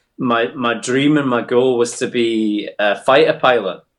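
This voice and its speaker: A man with a Scottish Borders accent, medium pitch, fairly even intonation and a fairly slow pace. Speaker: paramedic and army veteran. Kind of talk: personal interview conversation. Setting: remote internet call. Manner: hesitant, with frequent ums.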